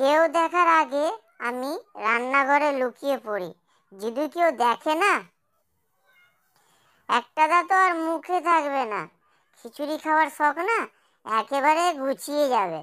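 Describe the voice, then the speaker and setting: A cartoonish, high-pitched character voice at a fairly slow pace, on a very clean recording with a silent background. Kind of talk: cartoon comedy voice. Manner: excitable, chatty.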